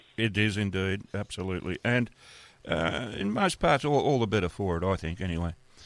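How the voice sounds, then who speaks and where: Fairly low-pitched male voice with an Australian accent. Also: ordinary pitch variation, fairly quick pace. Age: 70s. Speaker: radio host. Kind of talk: casual interview. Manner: halting.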